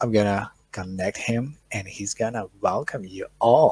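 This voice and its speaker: A man speaks with a non-native accent at a fairly low pitch. His pace is fairly slow. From Ukraine, Chernihiv. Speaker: conference moderator. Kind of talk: live-stream hosting. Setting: online live stream.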